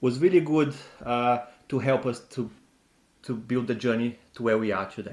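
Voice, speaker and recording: Here a man speaks with a non-native accent at a moderate pace. His pitch is medium, with ordinary variation. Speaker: personal finance YouTuber. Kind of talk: casual advice talk.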